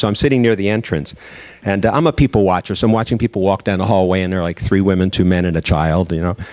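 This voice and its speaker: Speaking at a very fast pace, a man talks in an American accent. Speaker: diversity speaker. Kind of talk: lecture.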